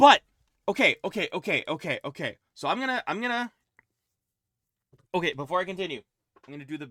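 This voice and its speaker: A man talks in a raised, projected voice at a very fast pace, with very wide pitch swings, big swings in loudness, and long, frequent pauses. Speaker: game streamer. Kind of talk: reading aloud from a book on stream.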